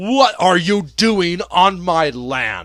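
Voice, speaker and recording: In a put-on character voice, a man speaks loudly at a high pitch. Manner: angry, threatening.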